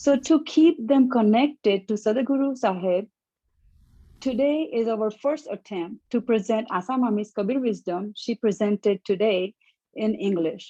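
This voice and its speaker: Speaking at a fairly slow pace, a woman has a dark, mellow tone. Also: fairly high pitch for a woman, ordinary pitch variation. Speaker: translator presenting a teacher's talk. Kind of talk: prepared spiritual talk in translation. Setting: live stream / Zoom.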